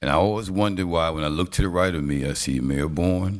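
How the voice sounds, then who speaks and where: With a Southern US accent, a man speaks at a moderate pace. His pitch is very deep and low, and his intonation is lively. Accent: US South. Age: 60s. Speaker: city council presiding official. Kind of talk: council meeting remarks. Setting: city council chambers.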